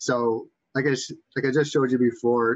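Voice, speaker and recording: Against a quiet background, a man speaks with a Boston accent. His intonation is fairly even. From Massachusetts. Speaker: webinar presenter on raptor identification. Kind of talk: educational presentation. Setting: online webinar. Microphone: webcam.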